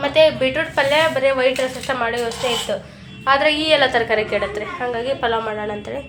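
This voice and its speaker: There is noticeable background noise and audible room echo. Over it, a woman talks in a high pitch with ordinary pitch variation. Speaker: family vlogger. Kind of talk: casual vlog talk.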